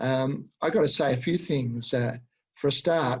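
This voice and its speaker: A man with an Australian accent, fairly high in pitch and somewhat breathy, with ordinary pitch variation against a quiet background. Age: 60s. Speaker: educator and supervisor. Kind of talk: webinar presentation. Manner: halting, many fillers.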